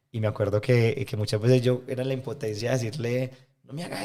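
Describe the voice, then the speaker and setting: A man's voice is heard here. His delivery moves fairly quickly. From Colombia, Medellín. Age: 20s. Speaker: environmental NGO leader. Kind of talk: interview conversation. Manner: fast.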